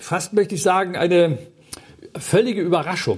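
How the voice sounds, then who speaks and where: Speaking at a high pitch, a man keeps his intonation fairly even. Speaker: guest preacher. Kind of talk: sermon.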